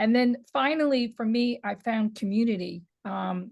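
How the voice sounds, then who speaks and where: With a New York accent, a woman talks at a moderate pace at medium pitch, somewhat breathy, with ordinary pitch variation. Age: 60s. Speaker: women's boxing historian and author. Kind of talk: interview. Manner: halting with repeated words.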